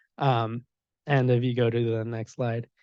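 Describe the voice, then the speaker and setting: Speaking with a Spanish accent, a man talks at a fairly slow pace in a medium pitch with monotone, flat intonation against a quiet background. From Mexico, Puebla area. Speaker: software security engineer. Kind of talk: panel talk. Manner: hesitant, many fillers.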